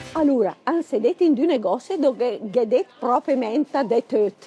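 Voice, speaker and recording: The sound is dry and close with no echo. At a fairly slow pace, a woman speaks with a high pitch and lively intonation. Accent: Lombard. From Bergamo, northern Italy. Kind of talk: humorous casual talk to camera.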